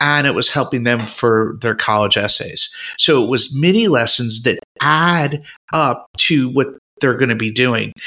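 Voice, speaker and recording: A man at medium pitch with a bright, sharp tone and moderate pace. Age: 50s. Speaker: retired art teacher. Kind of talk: casual chat. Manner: animated.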